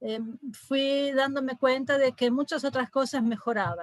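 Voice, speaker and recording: A woman talks rather slowly, with little sound around her. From Brazil. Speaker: psychiatrist. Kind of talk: lecture. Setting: video call.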